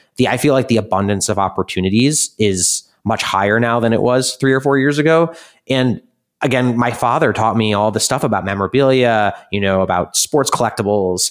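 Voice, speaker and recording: A man with an American accent speaks at a fairly quick pace and medium pitch in a plain, everyday voice, his loudness very even, on a very clean recording with a silent background. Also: ordinary pitch variation. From US Midwest, Chicago suburbs. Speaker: startup co-founder and investment executive. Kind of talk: interview.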